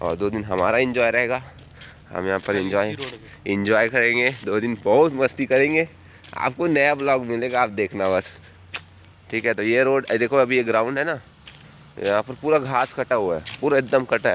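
A man speaks at a fairly slow pace with ordinary pitch variation. The sound is dry with no echo, and there is light background noise. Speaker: vlogger filming. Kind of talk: casual vlog chat. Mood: cheerful, relaxed. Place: open country. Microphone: phone near.

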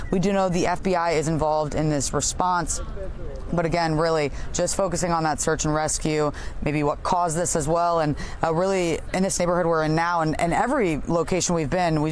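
Fairly low in pitch, a woman speaks at a fairly quick pace in a monotone, flat intonation with very even loudness, the sound dry with no echo and light background noise. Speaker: TV news field reporter. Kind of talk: live news report. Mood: serious, somber. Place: waterside.

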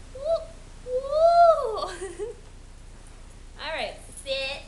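Against noticeable background noise, a woman's voice moves through very wide pitch swings. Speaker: dog owner filming her pet. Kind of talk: casual talk to a pet behind the camera. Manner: baby voice, high-pitched.

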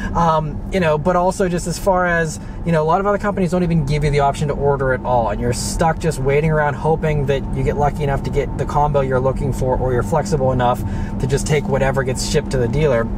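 A man talks at a very fast pace with ordinary pitch variation. The sound is dry with no echo, over loud background noise. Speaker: car vlogger. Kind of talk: casual vlog chat. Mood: mildly frustrated, explanatory. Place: car.

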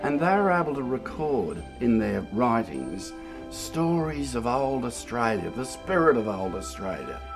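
Clear music plays in the background as a man talks at a fairly slow pace. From Australia. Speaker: bush poetry reciter. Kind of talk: interview answer. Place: garden.

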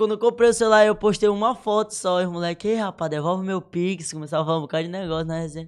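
The speech comes at a very fast pace with ordinary pitch variation. The background is quiet. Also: man. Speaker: social media influencer; podcast guest. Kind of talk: casual chat. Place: studio. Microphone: studio mic.

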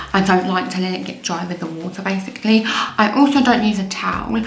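Light background noise and audible room echo surround a woman whose pitch varies in an ordinary way. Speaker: beauty vlogger. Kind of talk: casual vlog chat. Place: bathroom. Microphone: phone near.

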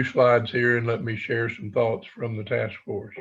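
The man's medium-pitched voice has a somewhat breathy quality. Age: 70s. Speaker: task force member presenting to school board. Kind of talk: formal presentation. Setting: school board meeting. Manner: halting, many fillers.

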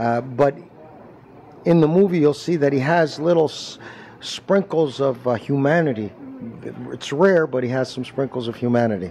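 Light background noise runs under a man speaking at a moderate pace. He leaves long, frequent pauses. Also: ordinary pitch variation. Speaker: actor. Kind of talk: interview answer. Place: hall. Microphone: handheld.

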